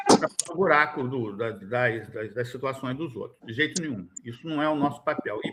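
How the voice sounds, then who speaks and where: A man speaks at a fairly slow pace. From Rio de Janeiro state (Niterói / São Gonçalo). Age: 60s. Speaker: education funding council member. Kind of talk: formal meeting discussion. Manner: emphatic, animated.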